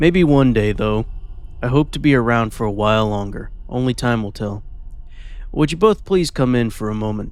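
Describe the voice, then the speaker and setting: A man in a put-on character voice, medium pitch, moderate pace. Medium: read story. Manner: polite, formal, charming.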